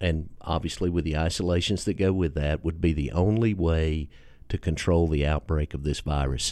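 In a Tennessee accent, a man with a very deep, low pitch and a dark, mellow tone speaks at a fairly slow pace on a very clean recording with a silent background. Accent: Southern US, Tennessee. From Tennessee, US. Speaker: podcast host. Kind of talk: casual podcast interview. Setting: radio studio.

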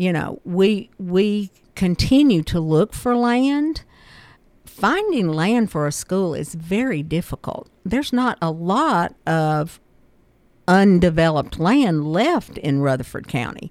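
A woman with a Tennessee accent speaks very slowly at a medium pitch, her pitch swinging very widely, on a very clean recording with a silent background. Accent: Middle Tennessee Southern. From US South, Murfreesboro, Tennessee. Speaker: school board vice chair. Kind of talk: radio interview. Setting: radio studio.

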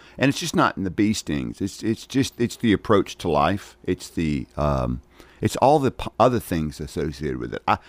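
A man with a Southern US accent speaks at a fairly quick pace in a very deep, low pitch with vocal fry. The recording is very clean and silent behind him, with a dry, close sound and no echo. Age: 60s. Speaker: county mayor. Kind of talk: radio interview. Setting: studio.

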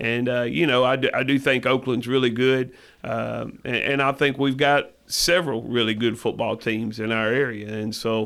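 In a Tennessee accent, a man speaks at a medium pitch and a moderate pace with fairly even intonation. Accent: Southern US (Tennessee). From West Tennessee. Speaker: high school football head coach. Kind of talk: radio interview. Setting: radio show. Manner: halting, many fillers.

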